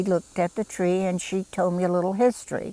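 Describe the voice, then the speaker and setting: Delivered at a fairly quick pace, this voice carries a Southern US accent in a dry, close sound with no echo. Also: woman. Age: 70s. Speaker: garden club volunteer. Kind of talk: interview. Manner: hesitant, with frequent fillers.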